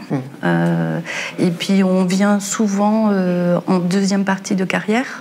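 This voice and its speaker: A woman talks at a very slow pace while light background noise sits underneath. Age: 50s. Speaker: home care worker; guest. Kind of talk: panel discussion. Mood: earnest, concerned. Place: studio.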